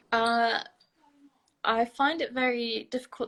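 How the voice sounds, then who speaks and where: This is a woman talking in a British accent. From England. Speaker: university student and model. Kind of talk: interview. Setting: livestream video call.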